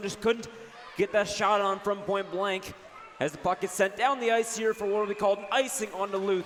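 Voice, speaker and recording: A fairly quick man with a high pitch, over noticeable background noise. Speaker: student radio sports broadcaster. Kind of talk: live hockey play-by-play commentary. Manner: fast.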